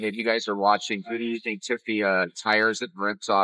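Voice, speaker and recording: Delivered at a fairly quick pace, the speech keeps a fairly even intonation. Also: man. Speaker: video commentator. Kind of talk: casual reaction commentary. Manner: loud.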